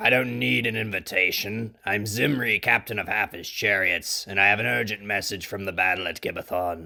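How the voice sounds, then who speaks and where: Putting on a character voice, a man talks at a moderate pace with hardly any pauses. His raspy, fairly low voice shows ordinary pitch variation. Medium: audio drama. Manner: commanding, forceful.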